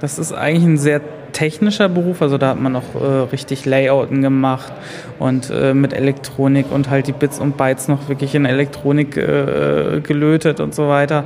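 A man with a fairly high voice speaks at a moderate pace in a flat monotone, with noticeable background noise. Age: 20s. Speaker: self-employed system administrator. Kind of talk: interview.

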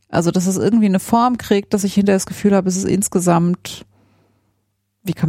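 Somewhat breathy, a woman with a dark, mellow tone speaks at a medium pitch and a fairly quick pace. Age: 30s. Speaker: engineer and podcast co-host. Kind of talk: casual interview conversation. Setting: home study room.

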